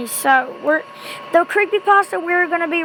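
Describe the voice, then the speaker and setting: A woman speaks over noticeable background noise. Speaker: amateur creepypasta reader. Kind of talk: casual talk to camera.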